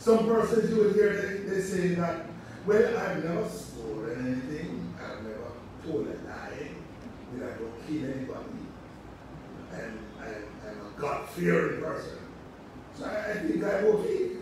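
A man at a fairly slow pace with long, frequent pauses, amid noticeable background noise and strong room echo. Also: big swings in loudness. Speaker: preacher. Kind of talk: sermon. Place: church.

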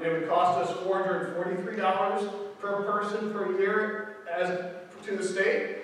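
Amid light background noise and strong room echo, a man with a high pitch speaks very slowly in a monotone, flat intonation. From Ireland. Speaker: preacher. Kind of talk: sermon. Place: church. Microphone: camera far.

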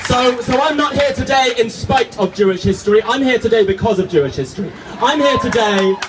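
A man with a British accent and an extremely high voice, at a fairly quick pace, with noticeable background noise. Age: young. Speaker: activist speaker. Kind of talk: protest rally speech. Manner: impassioned, rhetorical.

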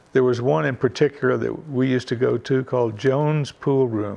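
This is a man's voice. He has a Kentucky accent. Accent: Kentucky Southern. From Mount Sterling, Kentucky. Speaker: retired businessman. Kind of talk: interview answer. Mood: reflective, calm storytelling. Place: home room.

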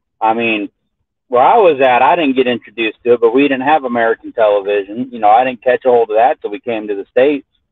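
A man at a fairly quick pace, dry sound with no echo and a quiet background. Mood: relaxed, laughing. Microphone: video call.

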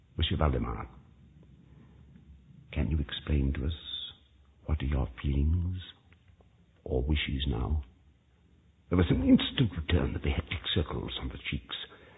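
The speaker keeps a moderate pace with ordinary pitch variation. Long pauses come often. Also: man, very deep, low pitch for a man. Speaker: actor. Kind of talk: dramatic reading of a Gothic tale.

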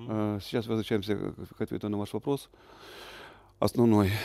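A man with a fairly low pitch and a dark, mellow tone is heard in a dry sound with no echo over a quiet background. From Russian Far East, Primorsky Krai. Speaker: tree-planting activist, former official; interviewee. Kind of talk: interview. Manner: halting. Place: garden.

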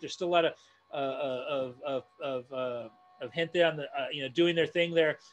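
A man talks in an American accent. He keeps a moderate pace with ordinary pitch variation. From Northeast Los Angeles; Los Angeles. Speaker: community activist and design educator; design educator. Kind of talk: online presentation and Q&A. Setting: video call. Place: home room. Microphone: earbuds.

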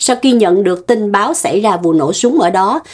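At a moderate pace, a plain, everyday voice moves with lively intonation. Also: woman. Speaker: news show co-host. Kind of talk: news reading. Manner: formal.

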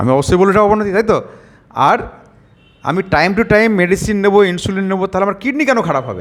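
Here a man speaks in a high pitch. His pitch variation is ordinary. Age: around 50. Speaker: doctor. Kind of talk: patient testimonial video with health advice.

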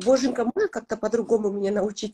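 Against a quiet background, a woman speaks at a fairly high pitch with ordinary pitch variation. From Kazakhstan. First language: Kazakh (speaking Russian). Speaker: blogger and mother; blogger. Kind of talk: interview. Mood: warm, reflective. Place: home room. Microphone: video call.

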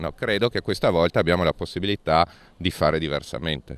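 A man with a very deep, low pitch speaks with ordinary pitch variation in a dry sound with no echo. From Friuli-Venezia Giulia, Monfalcone area; Friuli-Venezia Giulia. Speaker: politician. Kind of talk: interview. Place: street. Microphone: handheld.

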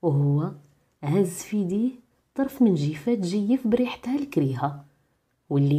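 Fairly slow and somewhat breathy, the voice carries a dark, mellow tone and very wide pitch swings, with a Moroccan accent. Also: woman. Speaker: radio-style program presenter and storyteller. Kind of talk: folk tale storytelling narration.

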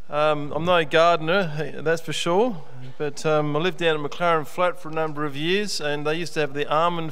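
A man's voice at a moderate pace with fairly even intonation. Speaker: pastor. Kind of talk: sermon. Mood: warm, light-hearted. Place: church. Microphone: podium.

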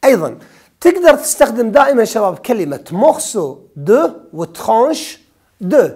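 A man with a Kuwaiti accent speaks fairly slowly at a high pitch with very wide pitch swings, against a quiet background. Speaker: French teacher. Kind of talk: exam review lesson. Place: studio. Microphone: lapel.

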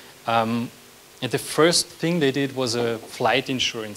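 A man speaks at medium pitch with ordinary pitch variation. His tone is fairly bright.

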